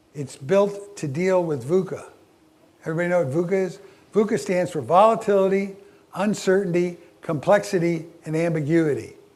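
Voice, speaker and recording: Speaking with an American accent, a man with a high pitch talks at a moderate pace with ordinary pitch variation, and room echo can be heard. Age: 70s. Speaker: leadership speaker. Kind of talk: keynote talk. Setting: stage with audience. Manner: halting.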